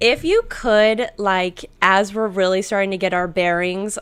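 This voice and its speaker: In an American accent, a woman with an unremarkable speaking voice talks fairly slowly at a medium pitch with fairly even intonation, captured on a very clean recording against a silent background. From US West, southern Idaho (Twin Falls). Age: 30s. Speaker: knitwear designer and podcast co-host. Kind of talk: casual chat. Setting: live stream from an apartment.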